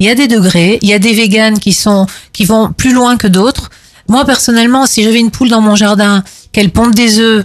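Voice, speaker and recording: This woman has a normal speaking voice, fairly high in pitch, with fairly even intonation and a fairly quick pace. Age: 50s. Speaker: animal rights activist. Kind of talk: panel debate.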